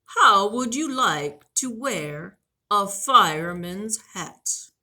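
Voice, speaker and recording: A woman's put-on character voice, very slow, at a medium pitch with very wide swings in pitch. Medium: read story. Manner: friendly, proud, explaining.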